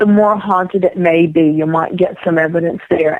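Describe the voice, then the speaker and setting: A woman with an American accent and an unremarkable speaking voice talks at a moderate pace, her fairly low pitch varying in an ordinary way. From Rhode Island, US. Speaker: psychic medium. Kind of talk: interview.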